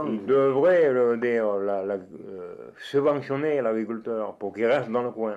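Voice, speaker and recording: Moving at a very slow pace yet with hardly any pauses, a man talks at a medium pitch with ordinary pitch variation. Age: 80s. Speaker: farmer. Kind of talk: interview answer.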